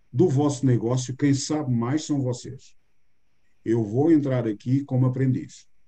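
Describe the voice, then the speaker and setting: A man talks at a fairly slow pace and medium pitch, his tone dark and mellow and somewhat breathy. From Portugal. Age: 60s. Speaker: business mentor. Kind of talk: interview.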